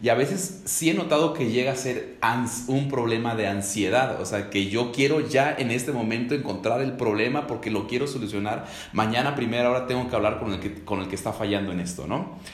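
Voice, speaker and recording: Man at medium pitch with ordinary pitch variation and hardly any pauses, amid audible room echo and noticeable background noise. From Mexico, Ecatepec near Mexico City. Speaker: executive pastor. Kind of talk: casual panel conversation.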